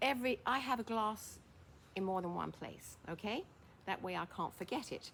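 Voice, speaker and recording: Speaking with an English accent, a woman keeps a moderate pace and ordinary pitch variation. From England. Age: 80s+. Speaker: former fashion model and senior lifestyle vlogger. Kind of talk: casual monologue to camera. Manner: hesitant, with fillers and false starts.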